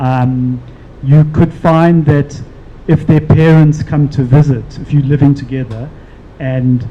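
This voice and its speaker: Noticeable background noise beneath a man's fairly even intonation. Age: 60s. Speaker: panel speaker. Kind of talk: panel discussion. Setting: live-streamed event.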